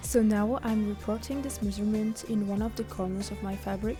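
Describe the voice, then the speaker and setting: Over music in the background, a woman with a French accent speaks at a moderate pace. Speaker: cosplayer. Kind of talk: sewing tutorial narration.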